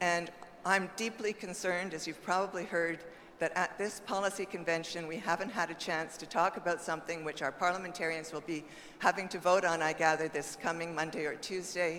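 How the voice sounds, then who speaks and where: A woman with a fairly low voice talks at a fairly quick pace with fairly even intonation. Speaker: party official speaking from the floor. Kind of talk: convention floor comment. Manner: fast.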